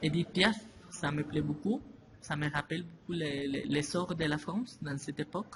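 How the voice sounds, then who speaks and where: A man with a Spanish accent speaks at a fairly high pitch with ordinary pitch variation. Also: moderate pace. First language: Spanish (speaking French). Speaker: interviewee. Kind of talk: interview answers in a second language. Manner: halting, with repetitions and hesitations.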